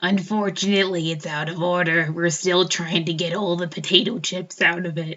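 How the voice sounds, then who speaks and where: A raspy, put-on character voice from a woman, fairly low in pitch, at a moderate pace with hardly any pauses. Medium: actual play. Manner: casual, offhand.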